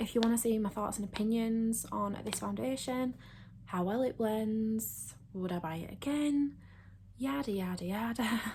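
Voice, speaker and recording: Fairly slowly and somewhat breathily, a woman talks in a fairly high voice whose pitch varies in an ordinary way. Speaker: beauty YouTuber. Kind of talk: makeup tutorial and review. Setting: at home.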